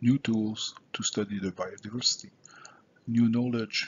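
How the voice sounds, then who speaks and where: A man with a Quebec accent speaks at a moderate pace and medium pitch, sounding somewhat breathy. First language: French. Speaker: scientist presenting at a conference. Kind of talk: conference presentation. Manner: halting, many filler sounds.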